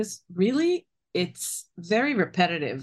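A woman talks in a somewhat breathy voice. Behind her, the background is quiet. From Israel. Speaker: business operations consultant. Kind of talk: interview.

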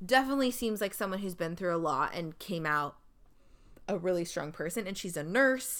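In a very clean recording with a silent background, a woman speaks fairly quickly at medium pitch, using an ordinary speaking voice with ordinary pitch variation. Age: 30s. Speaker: podcast co-host. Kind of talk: casual chat.

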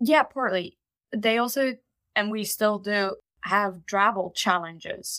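A bright, sharp voice speaks very slowly with a Dutch accent. Pitch varies an ordinary amount, and the recording is very clean with a silent background. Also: woman, fairly high pitch for a woman. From Netherlands. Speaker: fanfiction writer. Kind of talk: casual interview.

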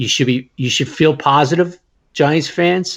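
Here is a man with a plain, everyday voice. He talks at a fairly quick pace. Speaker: sports beat writer. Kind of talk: casual chat.

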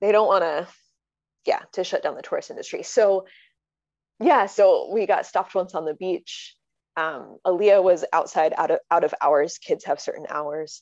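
A woman talks with an American accent at a moderate pace. The background is quiet. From US Northeast, Connecticut. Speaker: Enneagram coach and entrepreneur. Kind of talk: casual interview chat.

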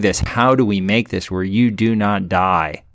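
Speaking with an American accent, a man with an ordinary speaking voice keeps a fairly low pitch and fairly even intonation on a very clean recording with a silent background. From Miami, Florida. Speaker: psychotherapist. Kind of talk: casual interview.

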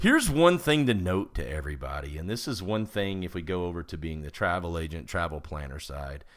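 Barely pausing, a man with a very deep, low voice talks at a fairly quick pace with lively intonation. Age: 40s. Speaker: Disney travel agent. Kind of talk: casual chat.

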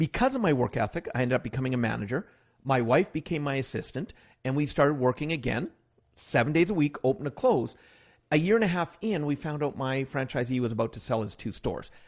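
A man with a western Canadian accent, fairly high-pitched, with lively intonation at a very fast pace. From Alberta, Canada. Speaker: author and motivational speaker. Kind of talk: interview.

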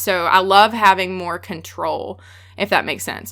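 In a very clean recording with a silent background, a woman speaks at a moderate pace with a strong Southern US accent. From US South, Texas. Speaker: freelance photographer. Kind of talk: casual interview chat.

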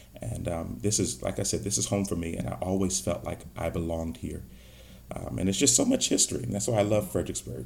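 A man with an American accent talks at a very fast pace, his very deep, low voice showing vocal fry and very wide pitch swings. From Virginia, Stafford County. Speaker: pastor and political candidate. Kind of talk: interview.

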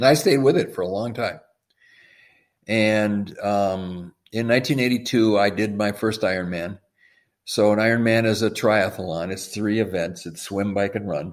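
A man with an American accent and a normal speaking voice, fairly low in pitch with ordinary variation, at a moderate pace in a very clean recording with a silent background. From US Midwest, Madison, Wisconsin. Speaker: physician and supplement maker. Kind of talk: interview.

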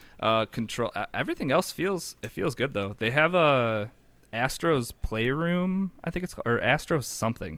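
The speaker has an ordinary speaking voice at a moderate pace. The recording is very clean with a silent background. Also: man, fairly high pitch for a man. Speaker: podcast host. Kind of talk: casual chat. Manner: laughs often, joking.

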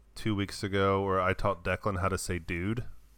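Using an ordinary speaking voice, a man speaks at fairly low pitch and a moderate pace with fairly even intonation, on a very clean recording with a silent background. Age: 30s. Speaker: podcast co-host. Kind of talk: casual chat. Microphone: new mic.

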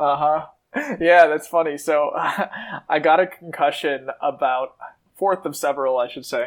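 In a very clean recording with a silent background, a man with an American accent speaks at a moderate pace in a fairly high pitch, an ordinary speaking voice. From US Midwest, Madison, Wisconsin. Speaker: MBA student and former charter school director. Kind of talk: casual interview. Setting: at home in his room.

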